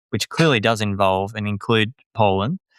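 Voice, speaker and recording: A man with an Australian accent, ordinary pitch variation, and a dry, close sound with no echo. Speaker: journalist and author. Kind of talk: interview. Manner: animated.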